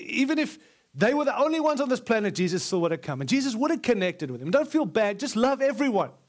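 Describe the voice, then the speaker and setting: On a very clean recording with a silent background, a man with a South African accent talks at a very fast pace with an extremely high pitch and very wide pitch swings. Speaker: preacher. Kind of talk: sermon. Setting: church conference with audience.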